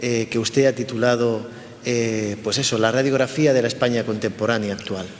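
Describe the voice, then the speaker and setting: A man's monotone, flat voice at a medium pitch and moderate pace, over noticeable background noise. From Spain. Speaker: cultural institute director. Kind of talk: interview. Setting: institute in the UK.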